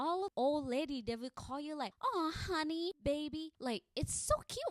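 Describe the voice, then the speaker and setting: A woman speaks in a high voice at a fairly slow pace, her intonation lively and her tone animated. The sound is dry and close, with no echo. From Thailand. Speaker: podcast host. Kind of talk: casual monologue.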